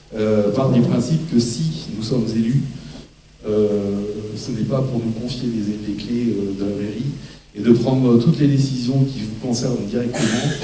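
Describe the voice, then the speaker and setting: A man speaks at a fairly slow pace and medium pitch with fairly even intonation. There is audible room echo and noticeable background noise. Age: 60s. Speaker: local election candidate. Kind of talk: campaign speech at public meeting. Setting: public hall with audience. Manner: halting, many hesitations.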